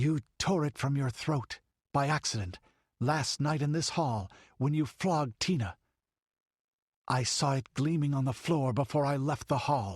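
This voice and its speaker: A man does a put-on character voice, fairly high in pitch and strained, at a moderate pace with long, frequent pauses. The background is quiet. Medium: read story.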